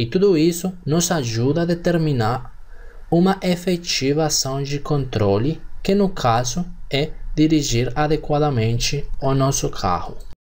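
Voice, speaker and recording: Somewhat breathy, a man with a Colombian accent speaks in a fairly high pitch at a fairly slow pace. His loudness is very even, his pitch variation ordinary, and audible room echo surrounds him. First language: Spanish (speaking Portuguese). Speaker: engineering teacher. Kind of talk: lecture.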